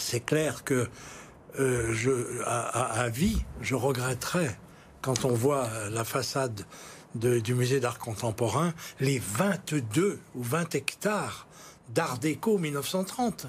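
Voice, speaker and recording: A man speaks very slowly and somewhat breathily, leaving long, frequent pauses. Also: medium pitch for a man, lively intonation. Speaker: lawyer and former politician. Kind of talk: TV political interview. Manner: halting, repeats words.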